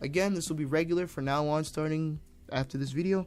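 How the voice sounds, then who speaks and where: Over music in the background, a man talks at a very fast pace with a fairly high pitch and ordinary pitch variation. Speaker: indie game developer. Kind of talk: vlog-style dev update. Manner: stumbling over words.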